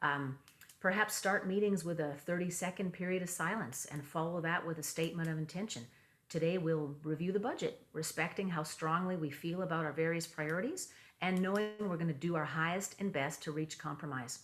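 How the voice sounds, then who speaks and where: A woman speaks at a fairly quick pace. Her pitch is fairly low. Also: ordinary pitch variation. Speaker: meditation teacher. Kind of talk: talk with slides. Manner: fast; hesitant, many fillers.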